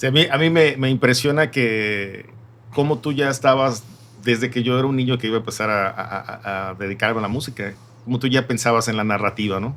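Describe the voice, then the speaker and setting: Speaking at a fairly quick pace, a man has an unremarkable speaking voice with a medium pitch and ordinary pitch variation. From Mexico, Yucatán (Mérida). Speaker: podcast host and musician. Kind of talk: podcast interview.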